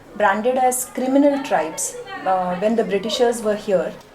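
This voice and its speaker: Over crowd noise and audible room echo, a woman talks at a moderate pace with a fairly high pitch and ordinary pitch variation. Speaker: charity program staff. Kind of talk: interview. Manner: hesitant, many fillers.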